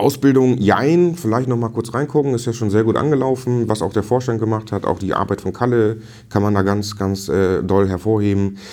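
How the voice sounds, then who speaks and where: The voice is an ordinary speaking voice. It moves at a moderate pace with ordinary pitch variation. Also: man, medium pitch for a man. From northern Germany (Dithmarschen). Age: 40s. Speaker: district fire brigade chief. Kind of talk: interview.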